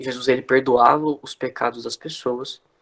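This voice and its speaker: Here a man talks at a moderate pace and medium pitch. His intonation is monotone and flat. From Brazil, interior of São Paulo state (Marília). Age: 20s. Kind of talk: religious talk in an online prayer livestream. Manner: casual, conversational.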